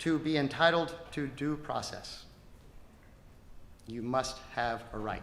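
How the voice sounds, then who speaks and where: A man with a fairly high pitch and ordinary pitch variation pauses long and often. Noticeable background noise and audible room echo are present. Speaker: government attorney. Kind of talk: closing argument in court. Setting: courtroom. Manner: fast.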